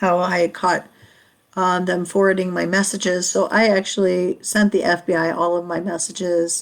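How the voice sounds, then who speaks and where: A woman at a medium pitch and a moderate pace, with monotone, flat intonation. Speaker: podcast host. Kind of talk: casual livestream storytelling. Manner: halting, many fillers and restarts.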